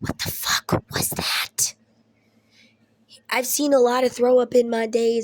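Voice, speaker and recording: A woman speaks loudly at a fairly slow pace. Her intonation is monotone and flat. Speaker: vlogger. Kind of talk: casual chat.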